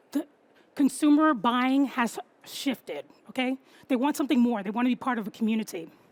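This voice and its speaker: Someone with a New York accent speaks at a fairly quick pace in an animated tone, with ordinary pitch variation and long, frequent pauses. The sound is dry and close, with no echo. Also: woman, high pitch for a woman. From New York City. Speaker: copywriter and marketing strategist. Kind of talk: talk to an audience. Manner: fast.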